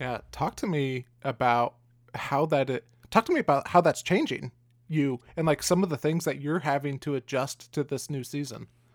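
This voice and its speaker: A man's unremarkable speaking voice, fairly high-pitched, at a moderate pace with ordinary pitch variation, dry and close with no echo, in a very clean recording over a silent background. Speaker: podcast host. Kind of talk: interview conversation.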